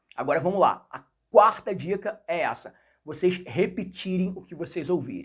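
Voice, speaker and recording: A man with a Rio de Janeiro accent speaks in a high pitch with an animated tone. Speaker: English teacher. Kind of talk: tutorial.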